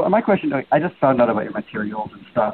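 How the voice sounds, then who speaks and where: Over noticeable background noise, a man talks at a very fast pace with very wide pitch swings. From New York City. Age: 40s. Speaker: radio show caller. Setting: phone. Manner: fast talker.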